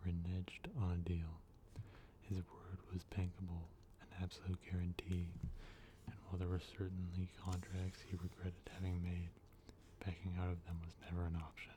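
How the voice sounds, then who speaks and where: The soft-spoken voice leaves long, frequent pauses. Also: moderate pace. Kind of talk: novel reading.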